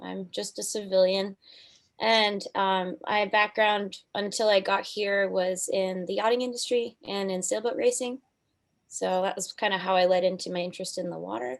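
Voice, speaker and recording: At a moderate pace and medium pitch, a woman with an American accent talks in an ordinary speaking voice, with ordinary pitch variation over a quiet background. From Michigan. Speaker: student. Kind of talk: panel discussion.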